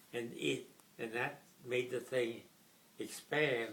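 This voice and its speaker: A man with an American accent, medium in pitch, at a fairly slow pace with monotone, flat intonation and noticeable background noise. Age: 80s+. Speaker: WWII veteran, retired Air Force officer. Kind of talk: interview answer. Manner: soft-spoken.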